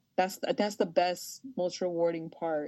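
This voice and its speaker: A woman's voice sits at a fairly low pitch with a dark, mellow tone. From Los Angeles, US. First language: Spanish. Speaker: sports broadcaster. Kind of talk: interview. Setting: podcast. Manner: animated.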